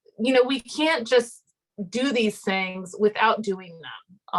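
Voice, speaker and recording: A woman talks with lively intonation at a fairly high pitch. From Miami, Cuban-American household. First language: Spanish. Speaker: theology professor. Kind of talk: panel conversation.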